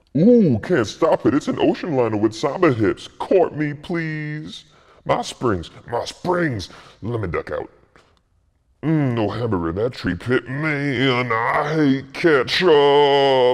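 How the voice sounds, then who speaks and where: Against a quiet background, a man puts on a cartoonish character voice. It sits fairly high in pitch and moves at a fairly slow pace. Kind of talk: comic overacting. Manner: jive slang, absurd non sequiturs.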